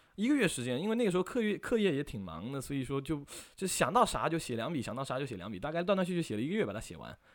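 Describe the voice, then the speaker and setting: On a very clean recording with a silent background, a man with a fairly high pitch talks at a very fast pace in an animated tone, his pitch swinging very widely. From China, Fuzhou, Fujian. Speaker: university student filmmaker. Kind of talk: casual interview chat.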